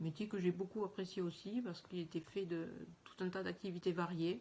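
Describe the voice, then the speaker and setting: A woman speaks in a strong Toulouse accent, her medium-pitched voice somewhat breathy. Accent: southern French Toulouse accent, still strong. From southwest France, Aveyron and Toulouse. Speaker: teacher. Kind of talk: self-introduction video. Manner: hesitant, with fillers.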